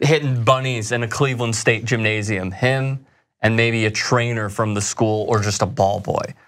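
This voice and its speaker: The background is quiet. A man talks there at a moderate pace. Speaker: sports show host. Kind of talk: commentary. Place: studio.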